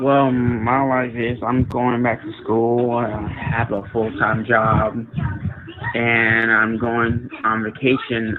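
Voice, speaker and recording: With music in the background, a man in an American accent speaks at a very slow pace in a medium pitch with monotone, flat intonation. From New Jersey, US. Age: 20s. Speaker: chat participant. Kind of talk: casual chat. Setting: push-to-talk voice app.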